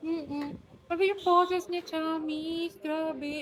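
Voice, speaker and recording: Noticeable background noise behind a woman's fairly slow pace. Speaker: vlogger. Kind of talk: casual chat. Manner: usually loud, quieter here.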